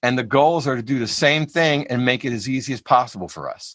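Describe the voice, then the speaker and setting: In a normal speaking voice, a man talks at a moderate pace with a fairly high pitch and ordinary pitch variation, on a very clean recording with a silent background. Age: 60s. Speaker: jazz vibraphonist and music educator. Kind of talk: panel interview. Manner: casual, conversational.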